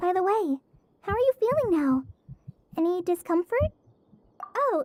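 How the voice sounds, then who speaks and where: In a put-on character voice, the speaker goes squeaky and extremely high-pitched at a moderate pace. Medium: video game.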